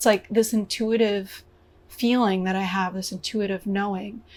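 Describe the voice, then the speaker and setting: A woman speaks in a fairly high, somewhat breathy voice with monotone, flat intonation. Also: very clean recording, silent background. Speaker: spiritual vlogger and singer. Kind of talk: reflective solo vlog monologue. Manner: hesitant, many filler ums.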